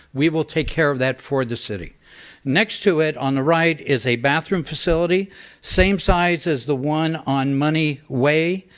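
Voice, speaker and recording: In a very clean recording with a silent background, a man with an American accent and fairly high pitch talks at a moderate pace in an unremarkable speaking voice with ordinary pitch variation. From Northern California, St. Helena. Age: 60s. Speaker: public commenter at council meeting. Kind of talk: public comment. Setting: city council meeting.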